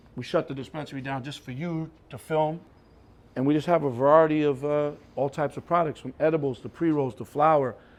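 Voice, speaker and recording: Here a man has an unremarkable speaking voice with a fairly high pitch. He talks at a fairly quick pace. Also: big swings in loudness. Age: 50s. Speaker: hip-hop manager and cannabis business owner. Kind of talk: casual interview while touring his business. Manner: casual, conversational.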